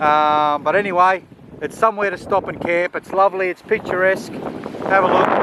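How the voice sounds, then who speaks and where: Australian accent at a moderate pace, fairly even intonation, noticeable background noise. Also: man, high pitch for a man. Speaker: travel vlogger. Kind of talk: casual vlog narration. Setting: outdoors at a beach camp. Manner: hesitant, many fillers.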